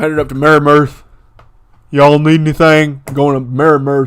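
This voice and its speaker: Putting on a character voice in a Western US accent, a man talks at a fairly quick pace with a fairly high pitch and monotone, flat intonation. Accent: Western drawl. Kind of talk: casual, friendly.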